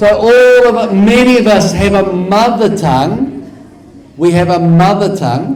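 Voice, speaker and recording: A man with a high pitch speaks at a fairly slow pace with lively intonation. Audible room echo and noticeable background noise surround him. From New Zealand. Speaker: academic researcher. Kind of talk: conference lecture.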